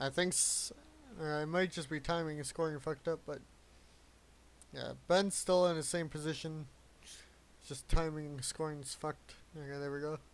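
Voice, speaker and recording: A quiet man's voice, fairly high-pitched, flat and monotone, with long, frequent pauses. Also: moderate pace. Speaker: sim racing streamer and commentator. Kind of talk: live commentary. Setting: live stream. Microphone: quiet mic, static if turned up.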